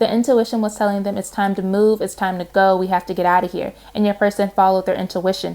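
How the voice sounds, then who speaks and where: There is noticeable background noise as a woman with a medium-pitched voice speaks at a fairly quick pace. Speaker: tarot reader. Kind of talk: tarot reading monologue. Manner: fast; casual, animated.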